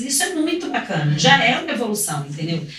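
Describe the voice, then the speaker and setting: A woman talks at a fairly quick pace in a medium pitch. There is noticeable background noise and audible room echo. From Rio de Janeiro, Brazil. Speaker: swimming teacher. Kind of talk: podcast interview.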